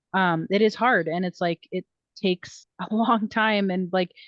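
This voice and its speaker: In a dry, close recording with no echo and a quiet background, a woman uses a normal speaking voice at medium pitch, speaking at a fairly slow pace with fairly even intonation. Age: 30s. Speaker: podcast co-host. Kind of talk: casual chat.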